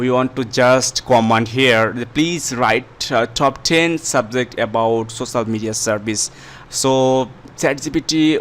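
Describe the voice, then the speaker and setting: A man speaks very slowly with a non-native accent. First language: not English. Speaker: YouTube tutorial creator. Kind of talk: tutorial. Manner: halting, many fillers.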